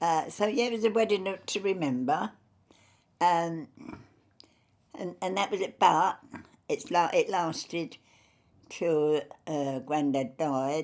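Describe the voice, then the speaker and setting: On a very clean recording with a silent background, a woman speaks very slowly with long, frequent pauses. Her fairly low voice has lively intonation. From Fulham, London. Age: 80s+. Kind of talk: interview answer.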